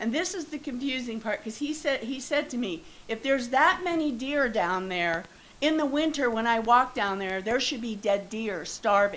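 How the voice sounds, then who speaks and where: Her pitch fairly high, a woman speaks with an American accent and lively intonation at a moderate pace. Audible room echo sits on the recording. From northeast Ohio, Youngstown. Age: 70s. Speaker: resident speaking at public comment. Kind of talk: public comment at council meeting. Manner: halting.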